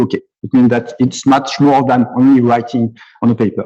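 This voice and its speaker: A man with a French accent speaks in a monotone, flat way, his medium-pitched voice dark and mellow in tone. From France, near Nice. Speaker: computer scientist and musician. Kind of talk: conference talk. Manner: halting, many repetitions.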